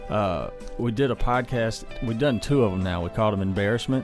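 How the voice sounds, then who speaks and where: Music plays in the background as a man with a fairly low pitch speaks at a fairly quick pace. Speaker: podcast host. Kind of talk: podcast conversation.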